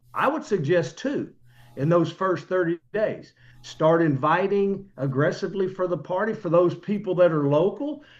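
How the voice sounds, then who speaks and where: A high-pitched male voice with lively intonation. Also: moderate pace, quiet background. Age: 60s. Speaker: network marketing distributor. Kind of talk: business presentation. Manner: animated.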